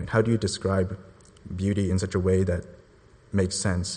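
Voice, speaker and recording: A man's somewhat breathy, fairly low voice at a fairly quick pace. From Hong Kong. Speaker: church intern on mission trip. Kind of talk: testimony. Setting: church.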